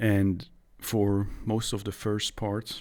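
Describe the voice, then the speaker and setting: A man with a fairly low pitch speaks over music in the background. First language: not English. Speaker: gaming YouTuber. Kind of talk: gameplay voice-over commentary. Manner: halting.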